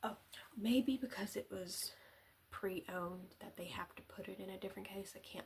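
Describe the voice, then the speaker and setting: A woman speaks softly. Her pace is moderate. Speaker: ASMR content creator. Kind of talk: casual talk to camera. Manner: soft-spoken, rambling.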